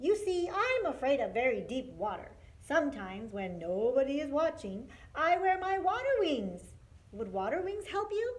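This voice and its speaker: Using a put-on character voice, a woman talks at a moderate pace with a high pitch and very wide pitch swings. Light background noise can be heard. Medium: read story. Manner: quacking.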